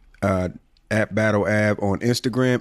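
A man speaks fairly slowly at a fairly low pitch on a very clean recording with a silent background. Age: 40s. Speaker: podcast co-host. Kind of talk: casual chat.

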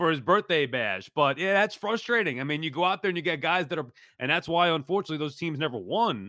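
A man talks at a very fast pace in a fairly high voice with vocal fry. His intonation is lively. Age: 40s. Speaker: sports podcast host. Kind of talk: casual sports talk.

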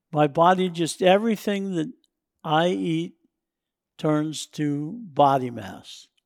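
Very slow with long, frequent pauses, a man with an American accent speaks at a fairly high pitch in a very clean recording with a silent background. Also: lively intonation. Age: 70s. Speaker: offshore fishing captain. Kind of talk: casual chat.

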